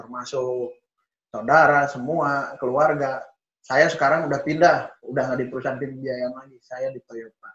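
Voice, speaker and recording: A man speaks at a moderate pace and medium pitch in a flat, monotone way, with big swings in loudness. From West Java (Sundanese). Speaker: car sales executive. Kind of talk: interview conversation.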